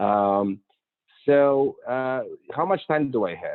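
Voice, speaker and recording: The speaker is a man. He talks with a Polish accent. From Poland, Warsaw. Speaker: architect. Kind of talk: talk to a club. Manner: halting.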